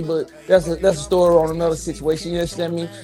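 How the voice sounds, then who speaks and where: Over music in the background, someone talks at a very fast pace with an American accent. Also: man. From Georgia, US South. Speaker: podcast host. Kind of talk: casual chat.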